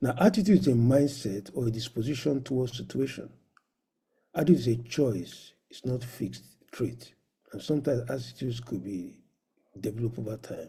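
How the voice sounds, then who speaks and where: A man speaks at a fairly quick pace with medium pitch, ordinary pitch variation and a dark, mellow tone. Vocal fry and big swings in loudness are present. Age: 60s. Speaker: professor and medical doctor. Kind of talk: conference lecture. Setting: virtual conference.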